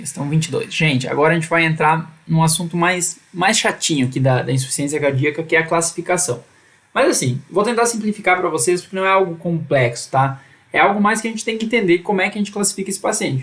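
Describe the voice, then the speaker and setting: Pitched high, a man talks at a very fast pace with ordinary pitch variation. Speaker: medical educator. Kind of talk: live online lecture.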